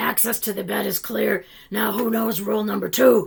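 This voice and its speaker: At a moderate pace and middle pitch, the put-on character voice sounds raspy. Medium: read story. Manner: formal, instructive.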